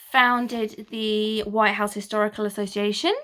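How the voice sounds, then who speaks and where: Speaking at a very slow pace, a woman with an English accent uses a fairly high pitch and a bright, sharp tone, her intonation monotone and flat. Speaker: history YouTuber. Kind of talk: casual history talk.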